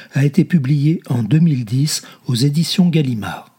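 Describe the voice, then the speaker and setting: A man speaks at a fairly slow pace with a solemn, dark, mellow tone. His pitch is fairly high and his voice somewhat breathy. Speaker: audiobook reader. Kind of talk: literary audiobook reading, read aloud from a novel. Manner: slow, measured, solemn literary delivery; fluid, expressive reading of long winding sentences.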